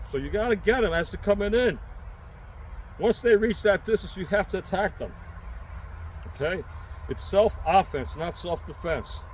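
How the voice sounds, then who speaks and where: A man with a New York accent talks at a moderate pace, leaving long, frequent pauses. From New York City. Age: 60s. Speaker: self-defense instructor and prepper vlogger. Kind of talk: unscripted tutorial. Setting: outdoors. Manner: casual, emphatic.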